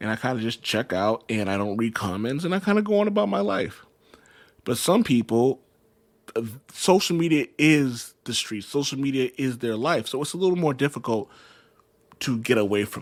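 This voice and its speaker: A man speaks loudly in an animated tone at a moderate pace and medium pitch, with very wide pitch swings, on a very clean recording with a silent background. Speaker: podcast host. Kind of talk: casual monologue.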